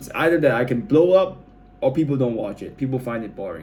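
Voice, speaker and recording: Noticeable background noise sits behind this recording. A man speaks at a moderate pace with a medium pitch and lively intonation. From Malaysia. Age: 20s. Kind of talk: casual talk to camera. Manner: rambling, hesitant.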